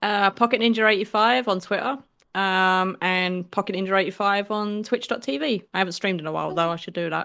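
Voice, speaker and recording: At a fairly quick pace, a woman with a British accent and a bright, sharp tone shows ordinary pitch variation in a very clean recording with a silent background. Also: medium pitch for a woman. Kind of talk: casual chat.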